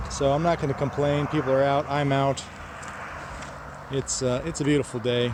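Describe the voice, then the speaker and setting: Noticeable background noise accompanies this man. His pitch is fairly high and his pace fairly quick. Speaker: motorcycle vlogger. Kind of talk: casual vlog talk to camera. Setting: roadside outdoors.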